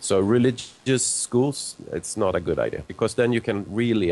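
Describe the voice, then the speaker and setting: A man speaks with a Swedish accent. His pitch is fairly low and his pace moderate. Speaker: zoologist and author. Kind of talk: live call-in discussion.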